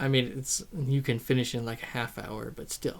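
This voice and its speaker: Quiet and at medium pitch, a man speaks with fairly even intonation. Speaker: YouTuber. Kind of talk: casual vlog monologue. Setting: alone in front of a camera. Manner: hesitant, many ums and ahs; shy, quiet.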